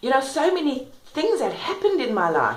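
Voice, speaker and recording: A woman is speaking amid noticeable background noise. There is audible room echo. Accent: South African. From South Africa. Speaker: vlogger and self-help author. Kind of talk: personal testimony. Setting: kitchen at home. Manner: fast.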